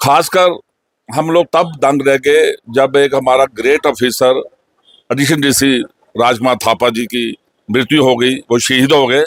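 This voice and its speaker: A man's normal speaking voice at medium pitch, with fairly even intonation and a dry, close sound with no echo. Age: 60s. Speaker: local resident. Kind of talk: interview testimony.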